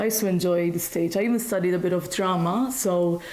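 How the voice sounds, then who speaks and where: A woman with a Maltese accent talks at a very fast pace with ordinary pitch variation over noticeable background noise. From Malta. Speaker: singing teacher. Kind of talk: interview. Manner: hesitant, many fillers.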